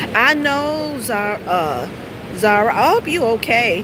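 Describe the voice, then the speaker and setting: Over noticeable background noise, a woman speaks with an American accent. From US South. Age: 40s. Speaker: live streamer. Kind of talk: casual live stream chat. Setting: walking outdoors while streaming. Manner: halting, many fillers.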